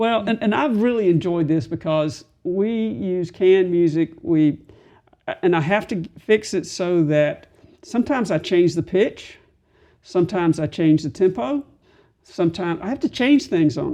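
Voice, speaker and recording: A woman speaks with a dark, mellow tone and very wide pitch swings. The background is quiet. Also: moderate pace. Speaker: member of a community singing group. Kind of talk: interview conversation.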